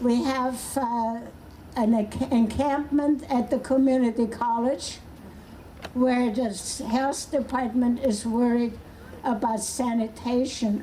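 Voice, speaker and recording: A woman's high-pitched, very slow speech in monotone, flat intonation, with very even loudness over noticeable background noise. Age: 80s+. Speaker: activist. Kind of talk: protest rally speech.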